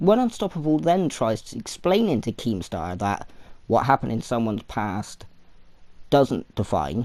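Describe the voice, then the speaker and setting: The recording is very clean with a silent background, and the speech comes at a moderate pace. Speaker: commentary YouTuber. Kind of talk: casual commentary to camera.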